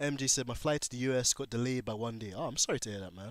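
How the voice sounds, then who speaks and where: A man with a medium pitch and a British accent talks at a fairly quick pace. The recording is very clean, with a silent background. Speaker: gaming livestreamer. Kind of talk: casual livestream chat reading comments. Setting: livestream.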